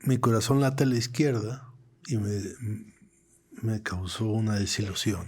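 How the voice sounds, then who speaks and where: A man's medium-pitched, somewhat breathy voice with a Mexican accent, fairly slow with long, frequent pauses, ordinary pitch variation and audible room echo. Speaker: political cartoonist. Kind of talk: interview conversation. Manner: halting, repeats words.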